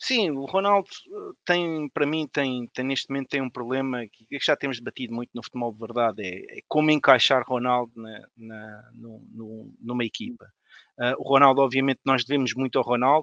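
The sound is dry and close with no echo, over a quiet background. A man talks in a plain, everyday voice at medium pitch and a moderate pace, with ordinary pitch variation and big swings in loudness. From Portugal, Odivelas (Lisbon area). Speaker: lawyer, football fan panelist. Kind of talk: casual panel discussion.

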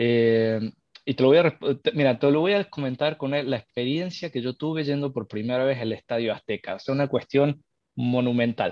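A man's speech keeps a moderate pace, its pitch varying in an ordinary way. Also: medium pitch for a man. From Argentina, Córdoba. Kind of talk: live podcast discussion. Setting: live stream with call.

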